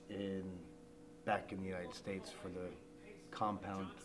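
Over clear background music, a man talks at a moderate pace and a fairly low pitch. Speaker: stage actor. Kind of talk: interview answer. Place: hall.

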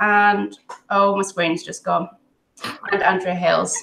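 The voice belongs to a woman. It has a bright, sharp tone. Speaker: host of group livestream. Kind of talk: casual hosting chat. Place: home room. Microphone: video call.

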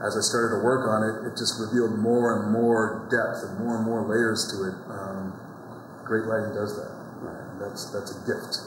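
Over noticeable background noise, a man talks at a moderate pace with monotone, flat intonation. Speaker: actor being interviewed. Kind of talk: interview answer. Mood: warm, reflective, passionate. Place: hall. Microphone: lapel.

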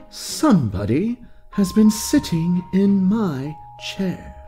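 Over clear background music, a man puts on a high-pitched character voice and speaks at a very slow pace. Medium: read story. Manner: mildly surprised, plain.

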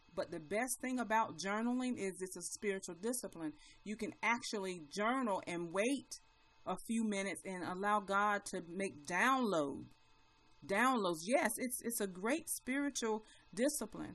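An ordinary speaking voice from a woman, medium in pitch, with lively intonation and a moderate pace. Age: 40s. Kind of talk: motivational live broadcast.

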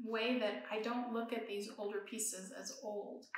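In a room with audible echo, a woman talks at a fairly slow pace with a fairly high pitch. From Iran. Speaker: professor. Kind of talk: lecture. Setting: studio. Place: workshop.

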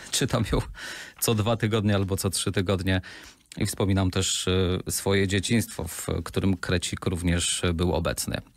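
Dry and with no echo, a man's very deep, low voice moves at a moderate pace with fairly even intonation. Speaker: radio presenter. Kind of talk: casual talk to camera. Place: studio. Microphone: studio mic.

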